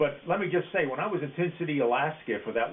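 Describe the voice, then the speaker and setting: Fairly quick speech from a man with an American accent, ordinary pitch variation and noticeable background noise. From Philadelphia, Pennsylvania. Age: 80s+. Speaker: war veteran. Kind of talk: oral history interview. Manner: halting, with frequent fillers.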